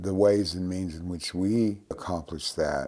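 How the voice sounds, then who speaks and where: In a very clean recording with a silent background, a man with a very deep, low pitch speaks in a dark, mellow tone and a monotone, flat intonation. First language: Cherokee. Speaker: Cherokee language teacher. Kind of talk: interview monologue.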